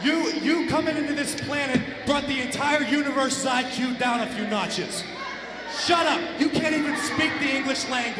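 A man talks at a moderate pace amid loud background noise. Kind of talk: wrestling promo insults. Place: hall. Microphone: handheld.

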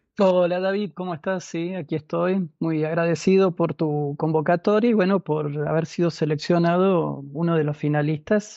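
This man talks at a moderate pace in a high voice with an Argentine accent, hardly pausing and keeping his intonation fairly even. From Argentina, Córdoba province. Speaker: screenwriting contest finalist. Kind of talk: interview.

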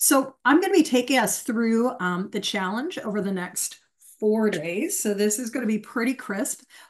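Against a quiet background, a woman speaks at a moderate pace. Her intonation is lively. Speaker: host, coach. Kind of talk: webinar presentation. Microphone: video call.

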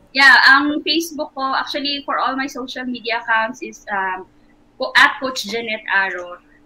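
In a raised, projected voice, a woman speaks at a high pitch and a moderate pace. Her loudness swings widely while her pitch varies in an ordinary way. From Philippines. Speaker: sports nutritionist; nutrition coach. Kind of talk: interview. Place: home room.

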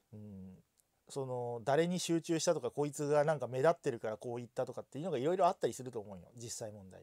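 On a very clean recording with a silent background, a man of medium pitch and dark, mellow tone speaks very fast with lively intonation. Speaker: VTuber commentator streamer. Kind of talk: casual solo livestream talk. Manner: rambling, filler-heavy.

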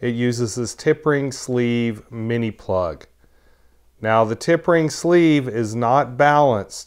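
A man talks at a very slow pace with ordinary pitch variation. The background is quiet. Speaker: tech reviewer. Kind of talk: tutorial. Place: home room. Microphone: lapel.

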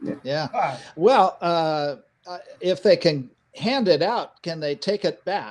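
Lively intonation and a high pitch mark this man's very slow speech. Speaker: pilot, panelist. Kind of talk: panel discussion. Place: home room.

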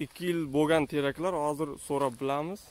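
A man speaks at a moderate pace with fairly even intonation. The sound is dry with no echo. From Uzbekistan, Jizzakh; Uzbekistan. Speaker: YouTuber; vlogger filming a farm visit. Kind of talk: casual vlog interview. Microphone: phone near.

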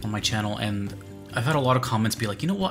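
Male speech with clear music playing underneath. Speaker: music reaction streamer. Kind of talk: commentary. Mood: enthusiastic, reflective. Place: home room.

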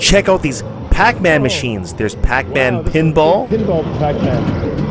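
Loud background noise sits behind a man speaking at a moderate pace, the sound dry with no echo. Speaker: vlogger. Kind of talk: casual vlog chat. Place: hall. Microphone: phone near.

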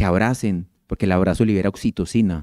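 The tone is dark and mellow, with ordinary pitch variation at a moderate pace. The sound is dry with no echo, over a quiet background. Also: man. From Colombia, Medellín. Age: 40s. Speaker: endocrinologist. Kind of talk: public health talk. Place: hall. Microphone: handheld.

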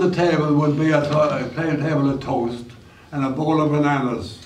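A man with a fairly high pitch speaks at a fairly slow pace. Audible room echo and light background noise are present. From St. John's, Newfoundland. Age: 80s+. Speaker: school alumnus. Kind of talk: reminiscing talk to a school audience. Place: stage. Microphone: camera far.

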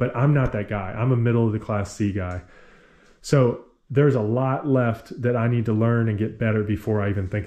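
A man speaks at a moderate pace in a fairly low voice. His tone is dark and mellow, and his intonation fairly even. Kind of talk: casual vlog chat. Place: garage. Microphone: phone near.

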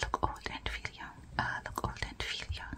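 A woman whispering at a fairly slow pace. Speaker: ASMR creator. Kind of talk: ASMR game play talk to camera. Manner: whispered. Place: home room.

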